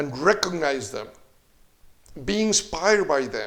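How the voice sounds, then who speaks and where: Speaking with a Spanish accent, a man goes at a fairly slow pace. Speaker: leadership consultant and seminar trainer. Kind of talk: video blog. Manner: casual, with filler words.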